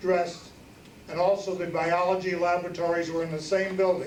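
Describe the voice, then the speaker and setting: A high-pitched male voice with audible room echo. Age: 70s. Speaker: alumnus and award donor. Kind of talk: awards ceremony speech.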